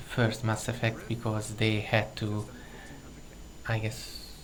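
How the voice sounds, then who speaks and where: Noticeable background noise and audible room echo surround this recording. A man with a non-native accent speaks at a medium pitch and a fairly slow pace. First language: not English. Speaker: gaming commentator. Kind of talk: recorded gameplay commentary. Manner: pauses while searching for words.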